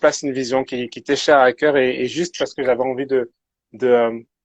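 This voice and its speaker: A man talks at a medium pitch. His intonation is flat and monotone. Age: 20s. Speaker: youth pastor and social worker. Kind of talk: casual interview chat. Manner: halting, many repetitions.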